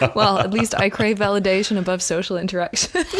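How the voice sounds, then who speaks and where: Background noise is clearly noticeable here. The speaker moves fairly quickly. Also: woman. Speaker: podcast co-host. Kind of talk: casual chat. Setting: studio with microphones, on a couch.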